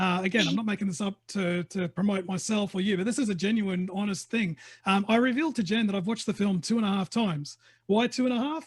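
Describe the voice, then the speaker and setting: Speaking very fast in an Australian accent, a man uses a high pitch and an animated tone. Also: ordinary pitch variation. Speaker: film interviewer. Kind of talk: interview. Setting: video call.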